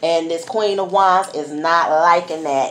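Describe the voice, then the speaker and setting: A woman speaks in a plain, everyday voice with a fairly low pitch. Her intonation stays fairly even. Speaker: tarot reader. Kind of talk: casual tarot reading commentary. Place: home room. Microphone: phone near.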